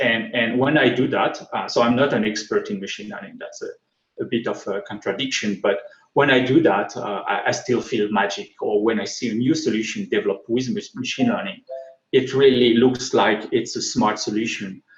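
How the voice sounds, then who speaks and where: A man with a strong French accent talks at a fairly quick pace. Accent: thick French. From France. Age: 40s. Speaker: tech speaker. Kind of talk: conference talk. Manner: halting.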